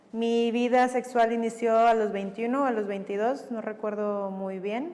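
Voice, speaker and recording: Noticeable background noise runs under a woman speaking in a fairly high pitch with ordinary pitch variation. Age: 30s. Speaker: psychologist and sexologist. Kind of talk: testimony.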